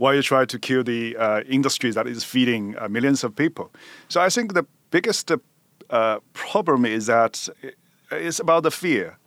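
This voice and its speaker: A man with a Chinese accent speaks at a moderate pace and medium pitch, his intonation lively, in a very clean recording with a silent background and a dry, close sound with no echo. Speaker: news editor. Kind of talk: interview. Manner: halting, many fillers.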